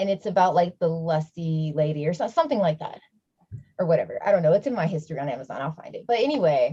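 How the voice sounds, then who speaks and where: With a Midwestern American accent, a woman speaks very fast in a fairly low, somewhat breathy voice of dark, mellow tone, her intonation lively and her loudness swinging widely. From US Midwest, Milwaukee, Wisconsin. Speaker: panel speaker, sex worker. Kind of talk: panel discussion. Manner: casual, many fillers.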